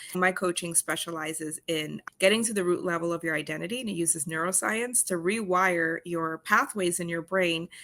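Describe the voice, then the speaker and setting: A woman's bright, sharp voice, fairly low in pitch, with ordinary pitch variation, a moderate pace and hardly any pauses. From Netherlands. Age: 40s. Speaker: dating coach. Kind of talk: interview.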